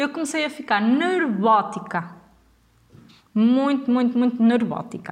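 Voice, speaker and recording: A woman with a high voice speaks at a fairly slow pace, her animated tone and lively intonation broken by long, frequent pauses. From northern Portugal, Vila Nova de Gaia. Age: 20s. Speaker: podcast host. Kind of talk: casual storytelling monologue.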